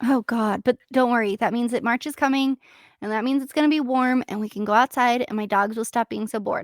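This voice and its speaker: A squeaky, high-pitched woman's voice moves at a fairly quick pace with a dry, close sound and no echo. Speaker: podcast co-host. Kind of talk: casual chat. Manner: animated.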